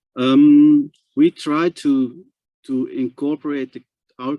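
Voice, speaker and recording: Very slow speech comes from a man with a Dutch accent. The sound is dry and close with no echo, against a quiet background. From Netherlands. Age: 60s. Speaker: transplant patient advocate. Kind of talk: presentation. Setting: webinar. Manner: halting, repetitive.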